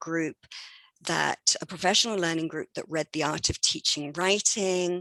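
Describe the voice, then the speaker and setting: Recorded dry and close with no echo, a woman with an English accent speaks at medium pitch and a moderate pace. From England. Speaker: education professor. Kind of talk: academic presentation.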